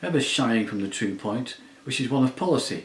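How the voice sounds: Someone reads aloud in a natural voice, the pitch rising and falling in an ordinary way.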